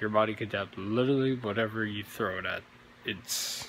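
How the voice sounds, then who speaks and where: A man's fairly low voice in a flat monotone at a moderate pace, with light background noise. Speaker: warehouse worker vlogger. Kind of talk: casual vlog chat. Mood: motivational, reflective. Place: factory. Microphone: phone near.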